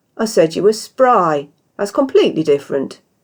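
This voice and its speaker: In a put-on character voice, a woman sounds gruff and rumbling at a medium pitch. Her pitch swings very widely while she keeps a moderate pace. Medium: read story. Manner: grumbling, gruff.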